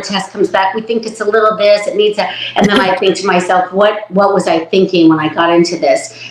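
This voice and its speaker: Noticeable background noise runs behind a woman with a medium-pitched voice. She talks fairly quickly, her intonation fairly even. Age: 60s. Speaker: hairstylist. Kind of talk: interview.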